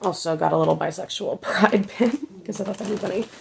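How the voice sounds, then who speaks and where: The pace is moderate as a woman speaks. Noticeable background noise runs underneath. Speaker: vlogger. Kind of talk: casual chat.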